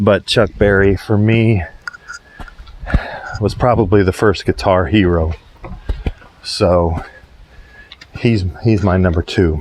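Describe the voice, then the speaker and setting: Quiet and very slow, a man speaks at a fairly low pitch with fairly even intonation against noticeable background noise. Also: very even loudness. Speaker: window cleaner and rock music vlogger. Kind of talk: casual vlog monologue. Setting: outdoors at a client's house while working. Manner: quiet, hushed; hesitant, many fillers.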